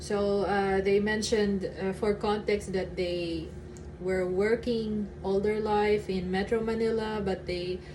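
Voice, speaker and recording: A woman speaks at a fairly slow pace in a Filipino accent, her medium-pitched voice flat and monotone, with audible room echo. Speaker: vlogger. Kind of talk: casual vlog chat. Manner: halting, with fillers and stutters.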